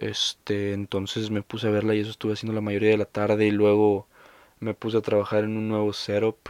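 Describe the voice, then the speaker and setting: With a Mexican accent, the speaker talks fairly quickly in a monotone, flat intonation, the sound dry and close with no echo on a very clean recording with a silent background. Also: man, fairly low pitch for a man. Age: 20s. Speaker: podcaster. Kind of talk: casual monologue. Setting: under a staircase at home. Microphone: new recording setup.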